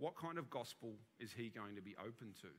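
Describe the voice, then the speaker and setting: Bright and sharp in tone, a man speaks with an Australian accent. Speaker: senior minister. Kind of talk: sermon. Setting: church.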